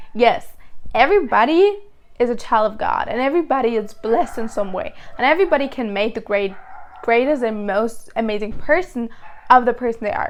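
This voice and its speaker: Her pitch is fairly high and her intonation lively as this woman speaks at a fairly quick pace. She has an unremarkable speaking voice. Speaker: life coach. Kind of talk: motivational talk. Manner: casual.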